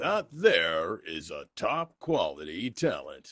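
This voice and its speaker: The man adopts a put-on character voice. His delivery is fairly slow. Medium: read story. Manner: dry, skeptical.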